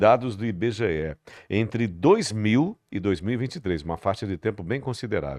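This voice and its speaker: Over a quiet background, a man speaks in a normal speaking voice, fairly low in pitch, at a moderate pace with lively intonation. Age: 60s. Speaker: podcast host. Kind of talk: interview podcast.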